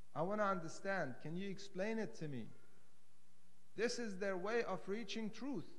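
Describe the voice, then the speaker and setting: At a moderate pace, a man talks in a high pitch with ordinary variation. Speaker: religious lecturer. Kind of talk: sermon. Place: hall. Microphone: podium.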